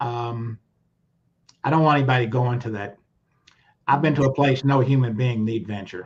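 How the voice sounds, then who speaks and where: A man speaks at a moderate pace in a Southern US accent, his medium-pitched voice somewhat breathy. His intonation stays fairly even, broken by long, frequent pauses. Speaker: lawyer. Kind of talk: testimony. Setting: livestream video call.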